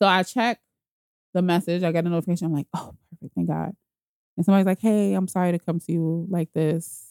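A woman talks at a very fast pace. Her pitch is fairly low and her intonation fairly even. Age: 30s. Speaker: podcast guest sharing her relationship story. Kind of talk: casual chat. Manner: talkative, long-winded.

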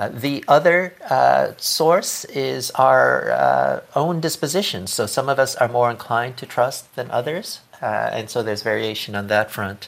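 A man speaks at a fairly slow pace with hardly any pauses. Noticeable background noise is present. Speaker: author and trust researcher. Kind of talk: interview discussion. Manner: hesitant, halting with many fillers.

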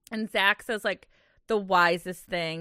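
A woman speaks with a normal speaking voice at medium pitch and a moderate pace, her intonation fairly even. The very clean recording has a silent background and a dry, close sound with no echo. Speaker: podcast co-host. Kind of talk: casual chat. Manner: laughs often, chatty.

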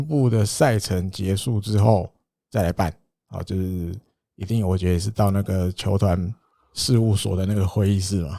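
Speaking with a Taiwanese accent at a moderate pace, a man has a dark, mellow tone, recorded very cleanly against a silent background with a dry, close sound and no echo. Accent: Taiwanese Mandarin. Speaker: baseball podcast host. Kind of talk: casual chat.

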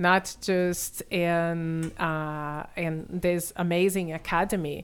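With a Brazilian accent, a woman talks at a fairly low pitch and with fairly even intonation, on a very clean recording against a silent background. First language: Portuguese. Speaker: benefits consultant and parent advocate. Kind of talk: podcast interview.

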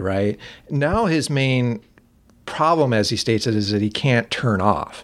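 This man has a medium pitch and an unremarkable speaking voice. He talks at a moderate pace with ordinary pitch variation. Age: 40s. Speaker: film discussion group organizer. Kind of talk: casual chat.

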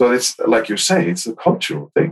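A man talks with an Icelandic accent. His pitch makes very wide swings. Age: 50s. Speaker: podcaster and workplace happiness consultant. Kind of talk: casual interview.

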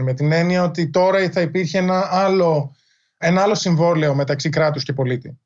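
A man speaks at a fairly high pitch and a moderate pace. The background is quiet. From Greece. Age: 40s. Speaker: history professor and author. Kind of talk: interview. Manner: halting, many fillers.

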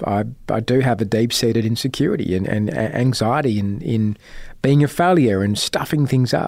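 A man with an Australian accent talks at a moderate pace and a medium pitch. His pitch varies in an ordinary way, and the recording is very clean with a silent background. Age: 40s. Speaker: investigative journalist. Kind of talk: interview.

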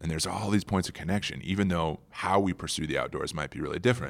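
Very deep and low, a man with an American accent talks at a very fast pace with vocal fry, in a very clean recording with a silent background. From US Midwest (hockey town, South Dakota). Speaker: war veteran and outdoor adventurer. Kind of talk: casual interview storytelling. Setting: conference center room. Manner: animated.

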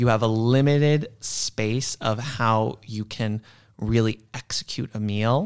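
A man with an unremarkable speaking voice talks at medium pitch with ordinary pitch variation. The recording is very clean with a silent background, and the sound is dry and close with no echo. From New York, Queens. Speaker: chef and cookbook writer. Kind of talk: casual interview.

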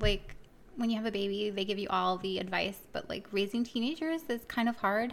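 A woman with an American accent uses a normal speaking voice at a medium pitch with ordinary pitch variation. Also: fairly quick pace. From Miami, Florida. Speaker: podcast co-host. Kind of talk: casual chat.

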